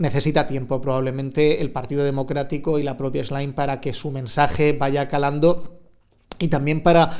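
The man talks at a moderate pace with a fairly high pitch. His intonation is monotone and flat. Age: 40s. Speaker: journalist. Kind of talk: interview.

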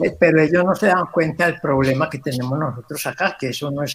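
Pitched somewhat high, a man with a normal speaking voice lets his pitch vary in an ordinary way. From Colombia. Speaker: guest commentator. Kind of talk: interview.

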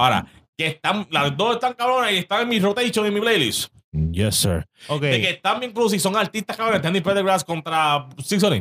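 A man's raised, projected voice, high-pitched and bright and sharp, with lively intonation, very even loudness and a dry, close sound with no echo. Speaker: podcast co-host. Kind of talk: casual chat. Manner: animated.

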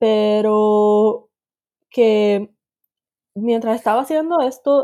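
The woman's voice is fairly high in pitch. Her tone is dark and mellow. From Puerto Rico. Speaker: UX researcher. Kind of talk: interview.

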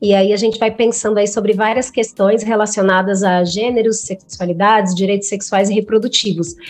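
A woman talks at a moderate pace in a plain, everyday voice, medium in pitch, with fairly even intonation, very even loudness and hardly any pauses. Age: 30s. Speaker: psychologist. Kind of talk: podcast interview.

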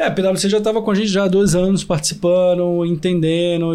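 The tone is dark and mellow, with fairly even intonation. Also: man. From Brazil, Recife (Pernambuco). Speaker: agtech innovation hub CEO. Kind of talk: podcast interview. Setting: in-person studio recording.

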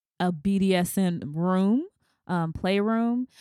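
A woman with an American accent and a dark, mellow tone comes through on a very clean recording with a silent background. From US South. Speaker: podcast host. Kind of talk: interview.

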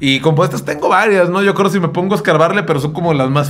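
A man's fairly high voice at a very fast pace, fairly even intonation, audible room echo and noticeable background noise. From Mexico, Jalisco (Sayula). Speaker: podcast co-host, musician. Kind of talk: casual chat.

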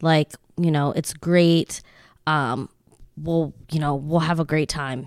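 A very slow, monotone woman's voice, very deep and low, with flat intonation, long and frequent pauses, and an American accent, on a very clean recording with a silent background. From Lancaster, Pennsylvania (from age ten). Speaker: real estate agent. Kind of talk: casual interview chat.

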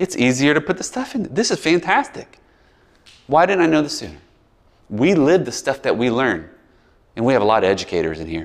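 A man with an American accent talks at a fairly quick pace, fairly high in pitch and with vocal fry. His pitch swings very widely, and he takes long, frequent pauses. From US South, Biloxi, Mississippi. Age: 40s. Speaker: pastor. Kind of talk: sermon. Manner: casual, conversational.

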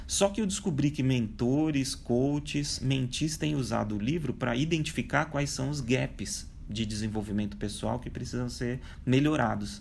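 With hardly any pauses, a man of medium pitch speaks at a moderate pace in an unremarkable speaking voice with ordinary pitch variation. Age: 40s. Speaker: speaker on digital transformation. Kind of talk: interview.

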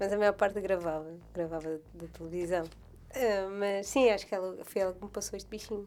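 Using a normal speaking voice at medium pitch, a woman talks at a moderate pace with fairly even intonation, hardly any pauses and big swings in loudness. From Madeira, Portugal. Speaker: podcast co-host. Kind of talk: casual chat.

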